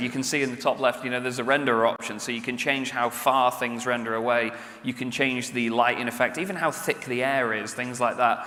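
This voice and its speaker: A man with a medium-pitched voice talks at a fairly quick pace with hardly any pauses, over noticeable background noise and audible room echo. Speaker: game player and presenter at expo. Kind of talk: stage presentation. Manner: animated.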